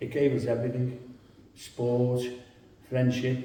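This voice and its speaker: A voice with a Liverpool accent, amid noticeable background noise and audible room echo. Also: man. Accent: Scouse. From Liverpool, England. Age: 70s. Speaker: local resident. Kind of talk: reminiscence interview. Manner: halting.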